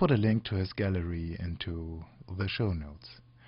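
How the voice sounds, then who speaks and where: A somewhat breathy voice with a non-native accent and ordinary pitch variation. The pace is fairly slow. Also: man. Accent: non-native English speaker. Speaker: software tutorial podcaster. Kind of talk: tutorial. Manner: halting, many fillers.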